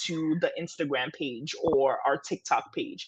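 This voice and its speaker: A woman with a Ghanaian accent. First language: Twi. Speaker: entrepreneur. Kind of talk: interview.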